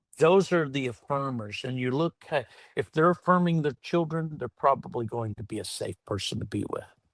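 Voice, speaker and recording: With an American accent, a man speaks at a moderate pace in a fairly high voice, using lively intonation and hardly any pauses, captured in a very clean recording with a silent background and a dry, close sound with no echo. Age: 60s. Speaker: entrepreneur and former pastor. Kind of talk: podcast interview.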